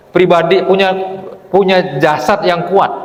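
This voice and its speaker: A man speaks at a high pitch. Audible room echo and noticeable background noise surround him. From Palembang, South Sumatra, Indonesia. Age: 60s. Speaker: Islamic preacher. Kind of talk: sermon. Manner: conversational, animated.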